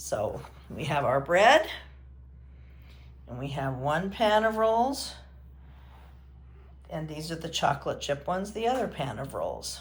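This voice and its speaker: Audible room echo surrounds a woman who speaks at a fairly slow pace, with long, frequent pauses and big swings in loudness. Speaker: home baker, cooking channel host. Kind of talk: cooking tutorial. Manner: casual, chatty; whispering at one point.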